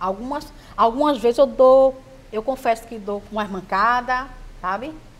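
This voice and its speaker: Against noticeable background noise, a woman speaks at a fairly slow pace with a fairly high pitch, lively intonation, big swings in loudness and long, frequent pauses. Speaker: sex coach and adult product seller. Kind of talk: interview. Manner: halting, with repeated words.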